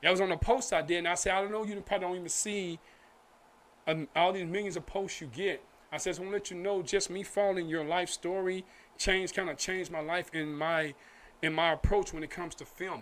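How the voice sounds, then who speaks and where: A man speaks at a very fast pace in a high voice with fairly even intonation. The recording is very clean, with a silent background. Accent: American. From Oak Cliff, Dallas, Texas. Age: 40s. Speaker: film director and actor. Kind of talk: casual interview chat.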